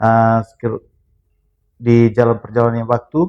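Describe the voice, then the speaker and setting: A man with an unremarkable speaking voice at medium pitch. The sound is dry and close, with no echo. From Flores, East Nusa Tenggara (Bajawa, Ngada). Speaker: former boxer. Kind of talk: casual interview.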